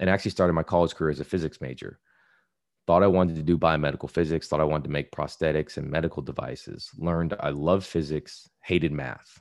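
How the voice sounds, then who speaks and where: A very fast-talking man with an American accent, a very deep, low pitch, vocal fry and fairly even intonation, on a very clean recording with a silent background. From US, Ohio and Texas (Houston area). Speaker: physician and pharmacist. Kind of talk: interview conversation.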